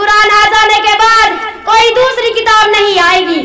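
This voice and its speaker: Against noticeable background noise, a woman speaks in a raised, projected voice. Her pitch is extremely high. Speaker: student of religious studies. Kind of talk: religious sermon to a women's gathering.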